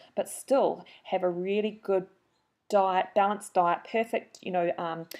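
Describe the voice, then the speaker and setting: Medium-pitched and at a moderate pace, a woman speaks with a New Zealand accent. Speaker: marathon runner and trainer, webinar host. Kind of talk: webinar introduction. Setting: online webinar. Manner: animated.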